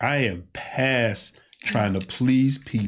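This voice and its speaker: A man speaks in a somewhat breathy voice. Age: 50s. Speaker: pastor. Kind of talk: casual chat. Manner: animated.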